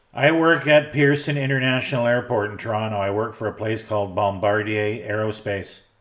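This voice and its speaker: A man with a Canadian accent and an ordinary speaking voice talks fairly quickly with hardly any pauses, his pitch fairly low and its variation ordinary. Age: 60s. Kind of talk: casual chat. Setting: radio transmission.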